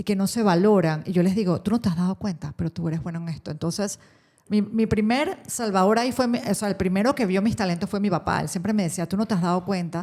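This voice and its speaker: Talking at a very fast pace, a woman uses a medium pitch with ordinary pitch variation. Her tone is dark and mellow and somewhat breathy. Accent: Panamanian. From Panama. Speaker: radio host and social communicator. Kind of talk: interview answer.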